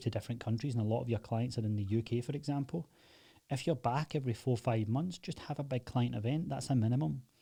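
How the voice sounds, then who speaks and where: A man with a Glaswegian accent at a very fast pace, medium in pitch, with a somewhat breathy, dark, mellow tone. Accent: Glaswegian Scottish. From Scotland, Glasgow. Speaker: online fitness coach and agency owner. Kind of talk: casual tutorial.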